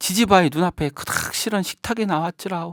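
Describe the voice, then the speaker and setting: A moderate pace in a North Jeolla accent. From Jeonju, North Jeolla, Korea. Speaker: non-professional local volunteer narrator. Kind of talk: fairy tale narration.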